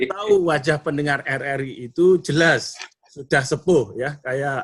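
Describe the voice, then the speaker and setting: A man's plain, everyday voice, fairly high in pitch, with ordinary pitch variation and a moderate pace. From North Sumatra, Indonesia (Sibolga). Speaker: motivational speaker and trainer. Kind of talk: online training talk. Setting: Zoom video call.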